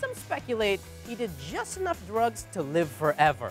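A man's voice, dry with no echo, over faint background music. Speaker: comedian news host. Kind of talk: comedic news commentary to camera.

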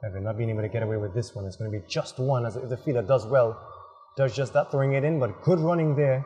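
This man talks at a very fast pace in an animated tone, with ordinary pitch variation at a medium pitch. Noticeable background noise runs underneath. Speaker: cricket commentator. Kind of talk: live sports commentary. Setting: outdoors at cricket ground. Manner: animated, quick play-by-play.

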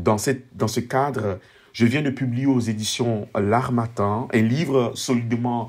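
A man's medium-pitched voice at a very slow pace, with ordinary pitch variation, on a very clean recording with a silent background. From Ivory Coast. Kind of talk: book presentation monologue. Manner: formal.

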